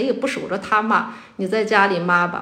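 There is noticeable background noise behind this woman. She talks at a moderate pace and medium pitch, with ordinary pitch variation. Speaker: school teacher. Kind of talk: casual chat.

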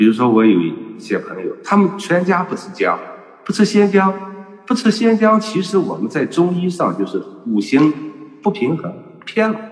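With very wide pitch swings and long, frequent pauses, a man talks at a high pitch and a moderate pace. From northern China, Shanxi (Datong, Hunyuan). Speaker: doctor and healthcare businessman. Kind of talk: online panel talk. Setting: video call.

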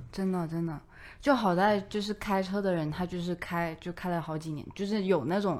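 Here a woman speaks at a moderate pace. Her pitch is medium, with ordinary variation. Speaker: office colleague. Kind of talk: casual chat.

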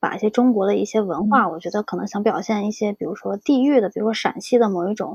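A woman with an ordinary speaking voice talks at a fairly high pitch with ordinary pitch variation. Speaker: graphic design PhD student. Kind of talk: casual interview chat.

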